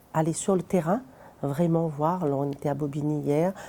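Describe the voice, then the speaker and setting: This woman has a very deep, low pitch and a dark, mellow tone. She talks at a moderate pace with fairly even intonation. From Réunion. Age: 40s. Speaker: citizen council member. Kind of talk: interview testimony.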